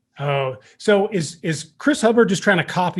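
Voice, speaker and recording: A man is talking here. He has an Eastern Kentucky accent. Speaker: podcast host and fire service instructor. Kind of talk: casual interview chat. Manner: animated.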